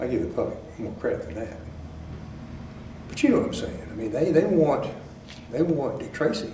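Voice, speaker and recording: A man with a Texan accent. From Belton, Texas. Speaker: former district attorney. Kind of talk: oral history interview answer.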